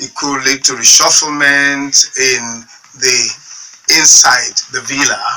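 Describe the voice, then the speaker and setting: Very slow speech over music in the background. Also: man. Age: 60s. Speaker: politician. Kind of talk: talk radio interview.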